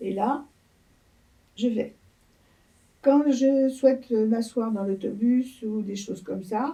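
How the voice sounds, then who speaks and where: Here a woman speaks very slowly. Her tone is dark and mellow. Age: 80s+. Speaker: elderly interviewee. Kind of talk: interview.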